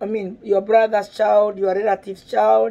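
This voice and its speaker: A dark, mellow tone with a Kenyan accent. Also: woman. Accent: Kenyan (Kikuyu) English. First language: Kikuyu. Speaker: parenting vlogger. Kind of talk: video monologue.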